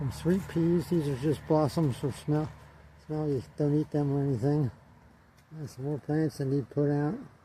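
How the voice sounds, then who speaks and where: A man speaks at a moderate pace with fairly even intonation. His voice is fairly high, somewhat breathy, with a dark, mellow tone. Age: 80s+. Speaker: gardener. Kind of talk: casual narration. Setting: greenhouse tunnel. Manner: halting.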